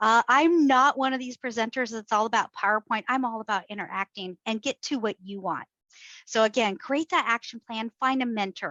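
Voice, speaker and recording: Pitched fairly high, a woman speaks at a moderate pace with ordinary pitch variation. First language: Korean. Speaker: HR professional and workshop presenter. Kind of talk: interactive workshop talk. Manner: conversational, with fillers and restarts.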